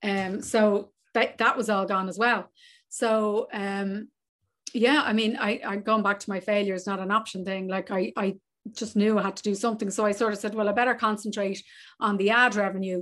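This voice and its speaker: A woman speaks with an Irish accent at a moderate pace and a medium pitch. Her intonation is monotone and flat, over a quiet background. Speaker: travel business owner. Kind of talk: casual interview.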